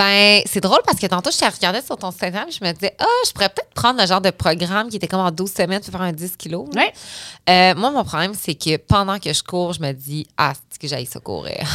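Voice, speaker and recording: The bright, sharp tone comes with big swings in loudness, ordinary pitch variation and a fairly quick pace with hardly any pauses, on a very clean recording with a silent background and a dry, close sound with no echo. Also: woman, medium pitch for a woman. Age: 30s. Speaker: entrepreneur, company founder. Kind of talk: casual interview chat.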